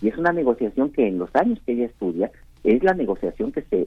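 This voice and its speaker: A man's voice swings very widely in pitch. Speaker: historian. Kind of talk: book review on radio. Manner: halting with many repetitions.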